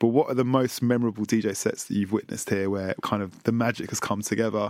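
A man with a London accent talks at a fairly quick pace in a fairly low voice with fairly even intonation. The recording is very clean, with a silent background. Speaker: podcast host and DJ. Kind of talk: interview. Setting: live venue.

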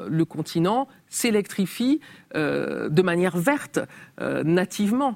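The voice moves at a very slow pace, with very wide pitch swings and vocal fry. The very clean recording has a silent background and a dry, close sound with no echo. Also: woman. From Cameroon (Yaoundé area), with French mother. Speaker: journalist and writer. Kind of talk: interview. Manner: hesitant, many fillers.

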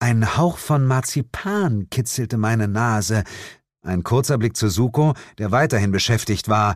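Ordinary pitch variation in an unforced reading voice, quiet background behind it

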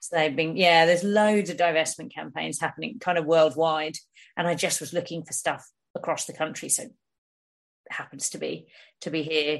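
A woman with a southern English accent and a fairly low pitch talks at a moderate pace with ordinary pitch variation. Her loudness swings a lot against a quiet background. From England, Hertfordshire. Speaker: long-distance hiker and environmental campaigner. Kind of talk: casual chat interview.

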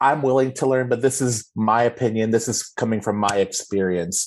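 An unremarkable speaking voice from a man with an American accent, medium in pitch and fairly quick in pace, over a quiet background. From Texas, Austin. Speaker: theater director and performer. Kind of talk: interview.

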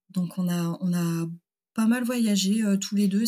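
A woman's medium-pitched, somewhat breathy voice with a dark, mellow tone at a fairly slow pace. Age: 30s. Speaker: engineer and company founder. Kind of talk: casual interview.

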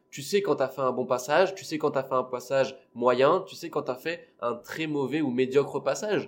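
This man has an ordinary speaking voice, pitched fairly high, with ordinary pitch variation. He talks at a moderate pace, and his loudness swings a lot. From La Réunion. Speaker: stand-up comedian. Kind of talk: casual chat.

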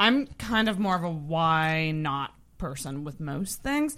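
In a very clean recording with a silent background, a woman speaks with very wide pitch swings. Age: 30s. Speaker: podcast host. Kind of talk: casual chat.

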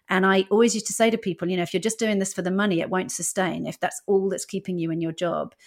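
Very fast and fairly low-pitched, a woman speaks with a British accent on a very clean recording with a silent background. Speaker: stand-up comedian and former TV executive. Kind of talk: casual interview.

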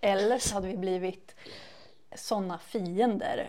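A woman's dark, mellow, medium-pitched voice at a very slow pace. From Sweden, Västervik. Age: 30s. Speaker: beauty podcast co-host, beauty shop worker. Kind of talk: casual chat.

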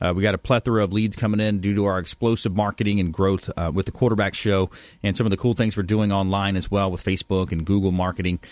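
A man's fairly low, monotone voice at a very fast pace with hardly any pauses, in a dry, close sound with no echo and a very clean recording with a silent background. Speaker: radio host. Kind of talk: talk radio show. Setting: studio.

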